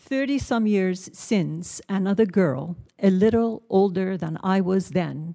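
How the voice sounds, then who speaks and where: Against a quiet background, a woman with a Persian accent speaks fairly slowly at a medium pitch, her tone dark and mellow. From Iran. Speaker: writer and journalist, witness. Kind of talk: prepared testimony at hearing.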